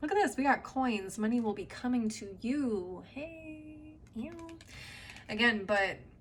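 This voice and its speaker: A woman with an American accent speaks at a fairly slow pace, fairly high in pitch, with lively intonation. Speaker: tarot reader. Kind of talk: tarot reading. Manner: casual, conversational.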